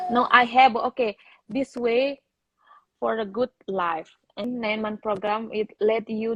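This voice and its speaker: A woman with a Balinese accent and a fairly high pitch, fairly even intonation, a fairly slow pace with long, frequent pauses, and a dry, close sound with no echo. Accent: Indonesian (Balinese). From Bali, Indonesia. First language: Indonesian or Balinese. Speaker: interviewee, program participant. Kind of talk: live interview. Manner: halting non-native English.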